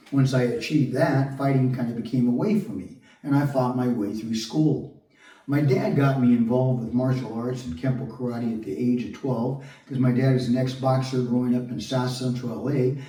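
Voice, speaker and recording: Amid audible room echo and noticeable background noise, a man speaks at a medium pitch and moderate pace with ordinary pitch variation. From Southern California (Long Beach). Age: 60s. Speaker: actor and construction worker vlogger. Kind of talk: personal monologue.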